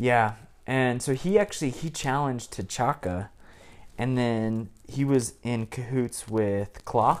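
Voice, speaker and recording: A man speaking at a very slow pace with ordinary pitch variation. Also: medium pitch for a man. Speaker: prospective co-host. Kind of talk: casual chat.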